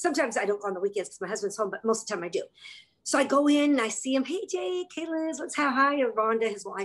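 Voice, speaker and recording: Very fast speech with very wide pitch swings. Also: woman, high pitch for a woman. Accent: American. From California. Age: 50s. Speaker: network marketing distributor; guest. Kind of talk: testimony; casual video call chat. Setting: video call. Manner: animated. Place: home room. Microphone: video call.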